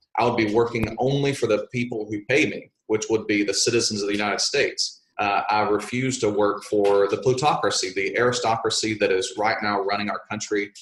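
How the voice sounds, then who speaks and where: A man with an American accent and a medium pitch talks at a fairly quick pace in a monotone, flat intonation, with hardly any pauses. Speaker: congressional candidate and teacher. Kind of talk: interview. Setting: remote interview from an office. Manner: loud.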